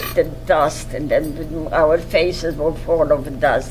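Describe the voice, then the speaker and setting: A woman speaks at a fairly slow pace with lively intonation. Music plays in the background, and there is audible room echo. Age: 90s. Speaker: Holocaust survivor. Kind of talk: testimony interview. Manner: halting.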